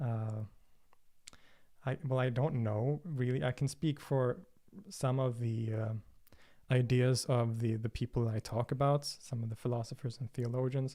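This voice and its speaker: A man with a medium pitch and a dark, mellow tone speaks at a fairly slow pace with fairly even intonation and long, frequent pauses. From Sweden, Stockholm. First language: Swedish. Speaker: religion and philosophy video creator. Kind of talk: livestream Q&A. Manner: hesitant, many fillers and repetitions.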